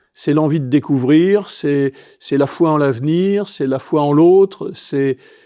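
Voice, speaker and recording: A man's fairly high voice has a dark, mellow tone and lively intonation. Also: dry, close sound with no echo. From Brittany, France. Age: 60s. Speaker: advertising executive and football club president. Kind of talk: podcast interview. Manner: halting, many repetitions.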